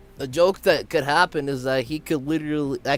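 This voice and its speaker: Music plays in the background as a man talks. His pace is moderate and his pitch variation ordinary. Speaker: play-by-play commentator for an online baseball game league. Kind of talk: live commentary. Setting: live stream. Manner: halting, stumbles over words.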